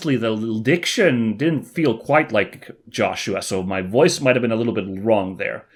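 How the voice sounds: This is a natural reading voice. The words are read aloud that way.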